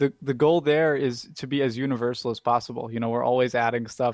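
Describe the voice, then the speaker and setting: A man speaks in a normal speaking voice at medium pitch, with ordinary pitch variation. He talks at a fairly quick pace with hardly any pauses against a quiet background. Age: 20s. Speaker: app company liaison, blind user. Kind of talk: interview.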